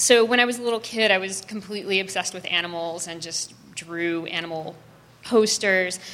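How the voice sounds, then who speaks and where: Against noticeable background noise, a woman with an American accent talks at a fairly quick pace and medium pitch, her intonation fairly even but her loudness swinging widely. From US South, New Orleans. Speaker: designer and artist. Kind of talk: interview before a live audience. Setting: stage with live audience.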